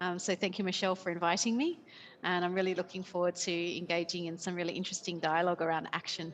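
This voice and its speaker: A woman speaks at a very fast pace with a fairly low pitch. Her intonation stays flat and monotone. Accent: Australian. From Australia. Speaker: company CEO. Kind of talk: panel introduction. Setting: remote call.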